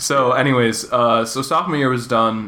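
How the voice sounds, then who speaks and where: A man speaks at a medium pitch and a moderate pace. Noticeable noise sits in the background. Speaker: podcast host. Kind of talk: casual chat.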